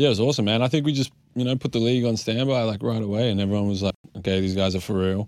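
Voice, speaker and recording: With an Australian accent, the speaker goes at a very fast pace with ordinary pitch variation in a very clean recording with a silent background. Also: man. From Melbourne, Australia. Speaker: professional basketball player. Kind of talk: casual chat. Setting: studio.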